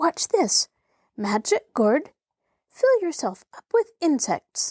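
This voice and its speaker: Squeaky and high-pitched, a woman puts on a character voice with very wide pitch swings. She speaks at a very slow pace. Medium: read story.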